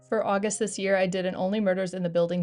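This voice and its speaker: Over background music, a woman of medium pitch talks at a very fast pace with ordinary pitch variation. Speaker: bullet journal youtuber. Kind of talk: scripted voiceover tutorial. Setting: recorded voiceover.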